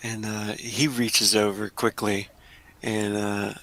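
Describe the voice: This is plain reading aloud.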